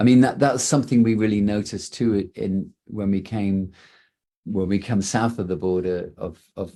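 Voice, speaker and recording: Speaking at a fairly slow pace with an English accent, a man has a fairly low pitch, a dark, mellow tone and ordinary pitch variation. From England. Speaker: rock band singer. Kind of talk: press conference interview.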